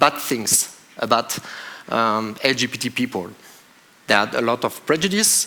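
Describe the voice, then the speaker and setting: A man's medium-pitched voice with a French accent, fairly slow and with lively intonation, over noticeable background noise. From France. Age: 40s. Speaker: police officer. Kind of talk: conference talk. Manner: halting.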